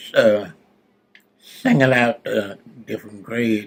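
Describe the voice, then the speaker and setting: This man talks at a medium pitch in a Southern US accent. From South Carolina. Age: 80s+. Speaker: retired educator, poet, World War Two veteran. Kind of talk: interview answer.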